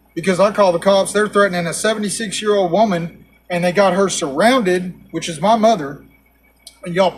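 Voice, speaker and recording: Man with a Texan accent, high-pitched, at a moderate pace. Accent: Texan Southern American. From Texas, USA. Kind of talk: casual talk to camera.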